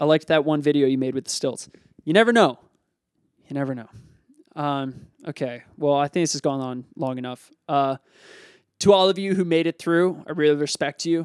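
A man with an American accent speaks at a moderate pace in a fairly high pitch, with ordinary pitch variation and long, frequent pauses. The recording is very clean with a silent background and a dry, close sound with no echo. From Pennsylvania. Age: 20s. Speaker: podcast host, unemployed actor. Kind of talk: casual solo podcast monologue. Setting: home recording in a bedroom.

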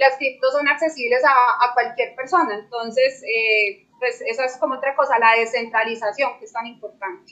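A woman with a high voice talks at a moderate pace with hardly any pauses, ordinary pitch variation, and big swings in loudness. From Colombia, Medellín. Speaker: crypto trader. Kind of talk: panel discussion.

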